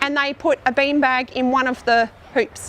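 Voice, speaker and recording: Noticeable background noise surrounds a woman speaking with an Australian accent. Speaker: teacher. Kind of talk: outdoor teaching demonstration. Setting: outdoors. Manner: fast.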